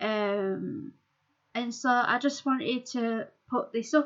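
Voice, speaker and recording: Her voice is fairly high in pitch, with ordinary pitch variation and a bright, sharp tone, coming from a woman. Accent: strong Yorkshire. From Yorkshire, England. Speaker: amateur writer and YouTuber. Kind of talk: casual chat to camera. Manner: hesitant, many fillers.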